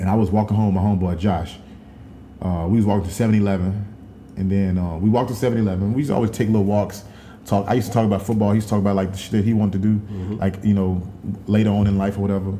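A man in an American accent, fairly low-pitched with a dark, mellow tone, at a very fast pace with monotone, flat intonation and audible room echo. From Dallas, Texas. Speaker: podcast co-host. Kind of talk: casual chat.

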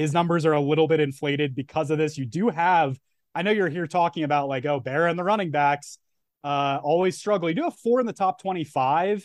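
In a quiet background with a dry, close sound and no echo, a man speaks in a normal speaking voice at a fairly quick pace, fairly high in pitch, with ordinary pitch variation. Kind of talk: casual chat.

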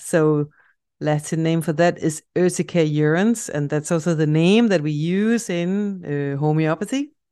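A woman with a Danish accent speaks at a fairly slow pace in a dark, mellow tone, her pitch fairly low with ordinary variation. The background is quiet. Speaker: homeopath podcaster. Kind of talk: informative solo podcast talk. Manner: casual, chatty, enthusiastic.

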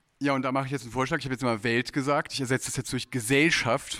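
This man's delivery is very fast. Nothing but silence sits behind his voice on a very clean recording. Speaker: jury member, literary editor. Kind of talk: panel discussion. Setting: stage with audience.

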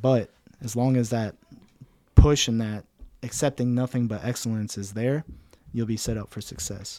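A man with a Midwestern American accent speaks at a medium pitch in a dark, mellow tone. His intonation stays fairly even, his loudness swings a lot, and he takes long, frequent pauses. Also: moderate pace. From Cincinnati, Ohio, US Midwest. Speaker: military training instructor. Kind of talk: interview.

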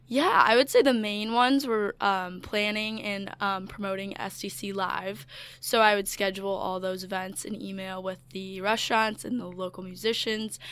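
A woman speaks in a normal speaking voice at a medium pitch, with ordinary pitch variation. Her pace is moderate, with hardly any pauses. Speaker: college student, former intern. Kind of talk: casual interview. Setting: studio.

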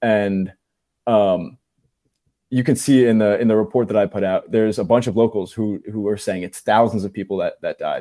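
This man has a plain, everyday voice, fairly low in pitch, moving at a moderate pace with fairly even intonation. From New Jersey. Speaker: independent journalist. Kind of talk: casual chat.

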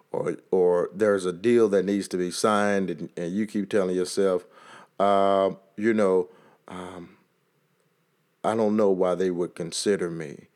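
A man with a very deep, low pitch and a Texas accent, monotone and flat, at a fairly slow pace with long, frequent pauses, on a very clean recording with a silent background. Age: 40s. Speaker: motivational podcaster. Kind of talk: motivational monologue.

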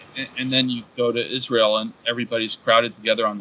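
A man with an American accent talks at a fairly quick pace. His pitch is medium, and noticeable background noise is present. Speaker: professor and writer. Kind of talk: casual interview chat.

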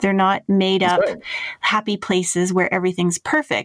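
A woman's unremarkable speaking voice with a Canadian accent, medium in pitch and fairly even in intonation, in a dry, close sound with no echo. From Toronto area, Canada. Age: 40s. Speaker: podcast host on workplace experience. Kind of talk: podcast interview.

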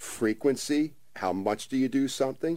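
In a very clean recording with a silent background, a man with a New Jersey accent speaks with ordinary pitch variation. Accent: New Jersey American. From South Jersey (Ventnor, New Jersey). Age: 50s. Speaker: author and breathing coach. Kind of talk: radio interview.

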